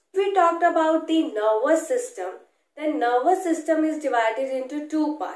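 A woman speaks at a high pitch and a moderate pace. Audible room echo surrounds her over a quiet background. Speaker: medical educator. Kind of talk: lecture. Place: home room.

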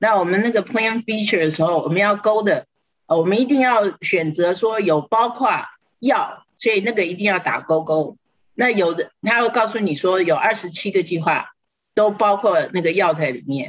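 Her pitch sits in the medium range with ordinary variation as the woman talks at a moderate pace. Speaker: Medicare benefits counselor. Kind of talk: TV talk show explanation. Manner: hesitant fillers.

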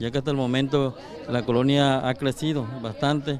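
The recording of this man is dry with no echo and has light background noise, and his intonation is fairly even. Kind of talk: interview answer. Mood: complaining, earnest. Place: street. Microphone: handheld.

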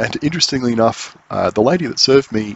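The man's speech has ordinary pitch variation, a moderate pace, and a dry sound with no echo. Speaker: cycling vlogger. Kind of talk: casual vlog chat. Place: bicycle. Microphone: phone near.

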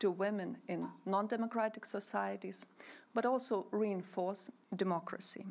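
A woman speaks at a moderate pace with fairly even intonation. Her voice has vocal fry. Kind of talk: formal speech. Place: hall. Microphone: podium.

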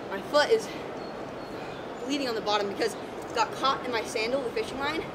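A woman talks at a fairly quick pace. Loud background noise sits behind her. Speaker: fishing vlogger. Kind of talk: casual vlog chat. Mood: shaken but calm warning. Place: waterside. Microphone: camera far.

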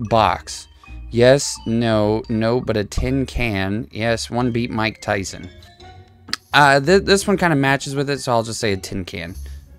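Faint music plays in the background as a man speaks at a fairly slow pace, the sound dry with no echo. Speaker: gamer streamer. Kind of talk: gameplay commentary. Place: home room. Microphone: headset.

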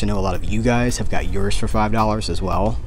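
A man talks at a fairly quick pace. Music plays clearly in the background. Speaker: collector vlogger. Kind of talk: casual vlog chat. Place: shop. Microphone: phone near.

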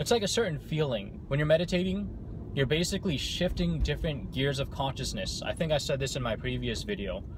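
A man's voice comes through with light background noise. The sound is dry, with no echo. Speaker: vlogger. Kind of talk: casual vlog chat. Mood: calm, reflective storytelling. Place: car. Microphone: phone near.

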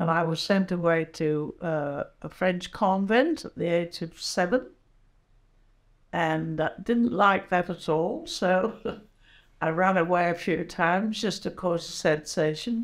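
A woman at a very slow pace with ordinary pitch variation and a quiet background. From England. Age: 80s+. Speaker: war veteran nurse. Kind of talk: interview answer. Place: home room.

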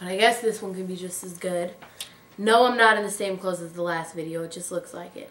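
Putting on a character voice, a woman speaks raspy and at a fairly quick pace, at medium pitch with fairly even intonation, her loudness swinging widely amid audible echo. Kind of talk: casual vlog chat. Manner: annoyed, angry. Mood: relaxed, playful.

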